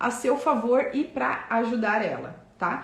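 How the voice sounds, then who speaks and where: Over noticeable background noise and audible room echo, a woman talks in a fairly high pitch with lively intonation. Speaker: business coach. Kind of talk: live online class.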